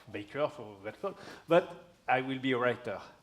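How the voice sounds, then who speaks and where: Lively intonation in a French accent. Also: man. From France. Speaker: crime novelist and geography professor. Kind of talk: stage interview. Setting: stage with audience. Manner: halting.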